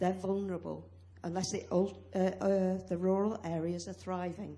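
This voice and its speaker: A woman talks at a moderate pace, and the room around her has an audible echo. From UK. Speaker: academic and farmer speaking from the floor. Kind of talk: conference floor contribution. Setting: conference hall with audience.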